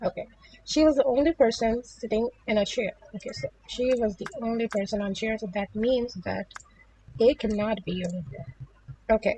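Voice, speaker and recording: A woman speaks with a non-native accent at a moderate pace, her voice fairly high and somewhat breathy. Her pitch variation is ordinary. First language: not English. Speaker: puzzle game youtuber. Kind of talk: gameplay tutorial. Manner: hesitant, many fillers.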